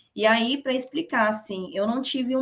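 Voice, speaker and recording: Delivered at a moderate pace with ordinary pitch variation, the speech comes in a Minas Gerais accent. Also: woman. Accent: Brazilian Portuguese, mineiro. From Minas Gerais, Brazil (Betim / Belo Horizonte). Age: 20s. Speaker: investment educator. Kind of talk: online open class, casual talk.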